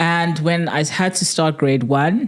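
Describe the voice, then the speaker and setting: Ordinary pitch variation marks this woman's speech. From South Africa, Port Elizabeth (Eastern Cape). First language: Tswana. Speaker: podcast co-host. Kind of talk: casual chat.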